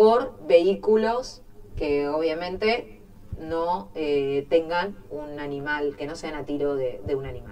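Talking very slowly in a Rioplatense accent, a woman lets her pitch swing very widely. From Argentina, Quilmes (Buenos Aires); Buenos Aires, Argentina. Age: 30s. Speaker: mayor, politician. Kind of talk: interview. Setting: studio. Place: studio.

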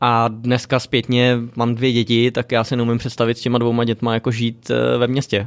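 On a very clean recording with a silent background, a man speaks at a moderate pace in a medium pitch, monotone and flat, his loudness very even. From Czech Republic, Děčín. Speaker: entrepreneur. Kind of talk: interview. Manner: casual, many fillers.

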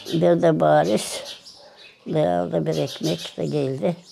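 This is a woman speaking. Faint music plays in the background. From Moldova. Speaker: famine survivor; witness. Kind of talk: testimony. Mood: somber, reflective. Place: street.

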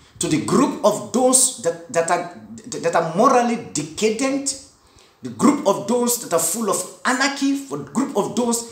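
Amid audible room echo, a man speaks at a fairly slow pace with lively intonation. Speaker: preacher. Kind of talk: sermon / Bible study teaching. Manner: earnest, didactic, preacherly with 'Amen' call-outs; rhetorical questions, emphatic and repetitive. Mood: earnest, sometimes smiling. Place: home room. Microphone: phone near.

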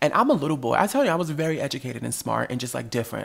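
A man with vocal fry at a very fast pace. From US Northeast (New Jersey). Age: 30s. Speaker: podcast host. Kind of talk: casual chat. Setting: studio.

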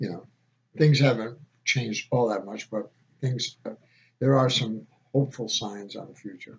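A man speaks at a moderate pace with a somewhat breathy voice. His intonation stays fairly even. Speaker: home video blogger. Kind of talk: casual vlog chat. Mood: calm, reflective. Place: home room. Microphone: webcam.

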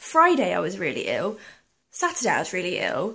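Her pitch swings very widely. The speaker is a woman. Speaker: vlogger. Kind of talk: casual vlog chat. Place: home room. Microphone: phone near.

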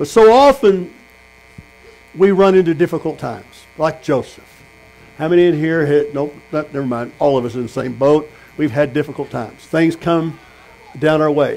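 A man with an American accent, fairly high in pitch, at a moderate pace, with ordinary pitch variation and long, frequent pauses. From Texas. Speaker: pastor. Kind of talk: sermon. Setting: tent meeting with congregation. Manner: animated. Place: tent. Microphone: camera far.

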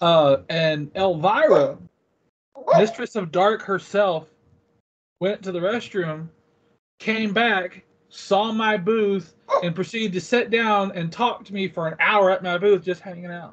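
A man speaks at a fairly slow pace with long, frequent pauses and a high pitch. His loudness swings widely, and his pitch variation is ordinary. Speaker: comic convention vendor. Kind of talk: casual interview chat. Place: home room. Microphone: video call.

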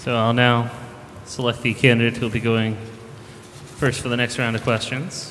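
With light background noise, a man with an American accent speaks in a monotone, flat intonation and takes long, frequent pauses. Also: moderate pace. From Charlton, Massachusetts; Massachusetts. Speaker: debate moderator, software engineer; debate moderator. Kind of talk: debate moderation. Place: hall. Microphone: podium.

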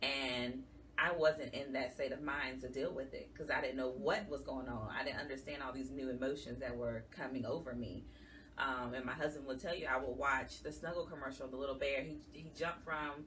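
Light background noise sits under talking that moves at a fairly quick pace. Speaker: guest. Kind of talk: interview answer. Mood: earnest, emotional personal story. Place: studio.

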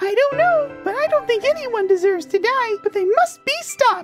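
A put-on character voice at an extremely high pitch and moderate pace, with faint music in the background. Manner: gentle, warm, reassuring.

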